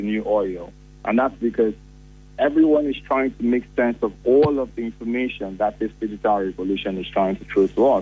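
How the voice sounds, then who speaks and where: Music in the background behind a man at a moderate pace. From Nigeria, Enugu. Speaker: tech company CEO. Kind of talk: radio interview.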